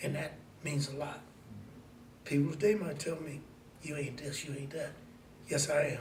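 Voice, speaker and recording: A man speaks at a moderate pace in a fairly high pitch, leaving long, frequent pauses. There is audible room echo and noticeable background noise. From US Midwest, Mansfield, Ohio. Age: 70s. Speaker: community elder. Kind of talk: oral history interview.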